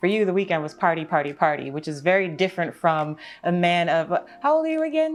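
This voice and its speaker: A woman's ordinary speaking voice, fairly low-pitched, with an American accent at a fairly quick pace. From New York. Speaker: podcast host. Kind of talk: interview conversation.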